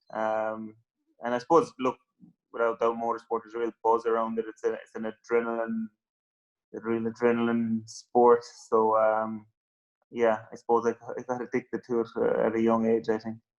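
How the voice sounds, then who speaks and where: In a Cork accent, the voice moves at a moderate pace with monotone, flat intonation and a dry, close sound with no echo. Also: man, medium pitch for a man. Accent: Cork Irish. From Ireland, West Cork. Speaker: rally driver. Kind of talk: interview. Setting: phone call. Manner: halting.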